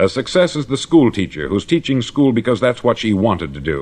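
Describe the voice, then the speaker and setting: A man's medium-pitched voice with vocal fry, very wide pitch swings and a fairly quick pace. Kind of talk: motivational spoken-word lecture. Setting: vintage 1950s studio recording.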